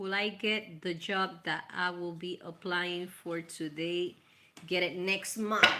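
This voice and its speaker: Speaking with a Spanish accent, a woman goes at a very slow pace in a fairly low pitch. Noticeable background noise sits behind her. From Puerto Rico. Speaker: tarot reader. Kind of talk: live tarot reading stream. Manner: casual, warm, animated.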